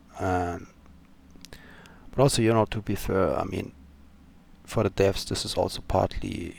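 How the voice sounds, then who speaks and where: With a non-native accent, a man talks at a moderate pace with fairly even intonation and long, frequent pauses. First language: not English. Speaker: gaming YouTuber. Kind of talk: casual commentary. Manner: hesitant, many fillers.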